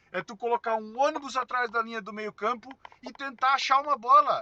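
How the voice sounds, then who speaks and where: A man speaks in a raised, projected voice. His tone is bright, sharp and animated. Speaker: football commentator. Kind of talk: post-match commentary. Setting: in a car. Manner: loud. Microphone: poor audio capture.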